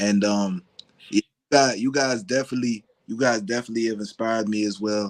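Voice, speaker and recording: A man's plain, everyday voice at medium pitch and a fairly quick pace, fairly even in intonation, with big swings in loudness and a dry, close sound free of echo. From US, Virginia area. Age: young. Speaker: cultural anthropologist and genealogist. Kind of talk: casual chat.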